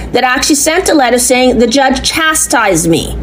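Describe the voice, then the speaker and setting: Noticeable background noise and audible room echo around a woman's voice. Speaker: complainant. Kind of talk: recorded phone complaint to police. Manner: halting; loud.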